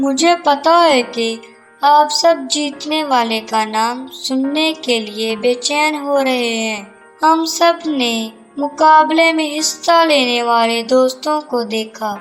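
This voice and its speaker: A female-sounding, cartoonish character voice at a very slow pace with faint music in the background. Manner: calm, kindly lecturing.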